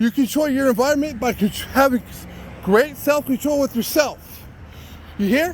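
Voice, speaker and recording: Loud and extremely high-pitched, a man speaks at a moderate pace with ordinary pitch variation and long, frequent pauses amid noticeable background noise. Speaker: citizen journalist. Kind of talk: walking vlog monologue. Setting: outdoors.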